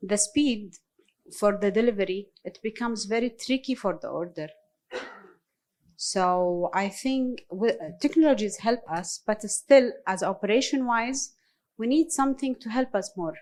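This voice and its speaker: At a fairly slow pace, a woman with an Arabic accent speaks at a fairly high pitch with lively intonation. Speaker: restaurateur and caterer. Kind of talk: panel discussion answer. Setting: live panel event with audience. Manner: halting.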